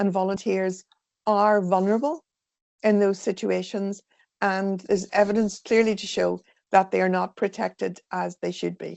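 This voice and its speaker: In an Irish accent, a woman talks at a moderate pace and medium pitch. Her intonation is monotone and flat. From Ireland. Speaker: volunteering sector consultant. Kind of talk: webinar presentation.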